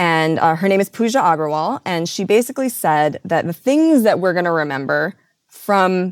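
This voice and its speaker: Using a normal speaking voice with an American accent, a woman speaks at a moderate pace and a fairly low pitch with ordinary pitch variation, in a dry, close sound with no echo. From US Midwest. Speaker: radio and podcast producer. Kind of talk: interview.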